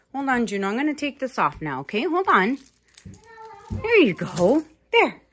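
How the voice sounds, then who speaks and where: A woman with a high voice talks at a fairly slow pace, her pitch swinging very widely. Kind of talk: casual talk to pet and child. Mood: playful, cheerful. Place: home room. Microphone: phone near.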